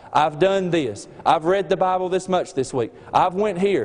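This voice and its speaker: The speech runs at a moderate pace with noticeable background noise behind it. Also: man. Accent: slight Southern US. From Alabama. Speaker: student preacher. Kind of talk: sermon. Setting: chapel service.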